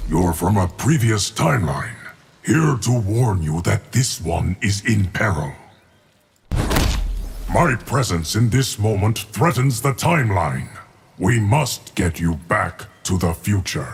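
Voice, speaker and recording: A man's fairly low, put-on character voice at a fairly slow pace. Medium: video game. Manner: stern.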